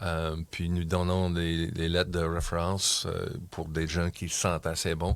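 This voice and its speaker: With an English accent, a man talks at a fairly slow pace in a very deep, low pitch, his intonation monotone and flat. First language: English (speaking French). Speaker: community club member. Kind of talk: interview. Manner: halting.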